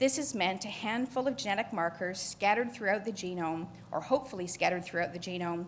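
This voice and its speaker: A woman with a Canadian accent speaks in a somewhat breathy voice with lively intonation. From Canada. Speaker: conservation geneticist. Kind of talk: conference panel talk. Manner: fast.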